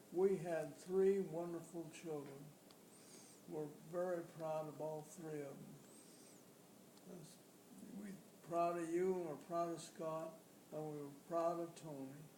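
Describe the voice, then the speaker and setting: Over noticeable background noise and audible room echo, a high-pitched man speaks very slowly in a flat monotone, with long, frequent pauses and big swings in loudness. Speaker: father, great-grandfather. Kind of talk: family interview.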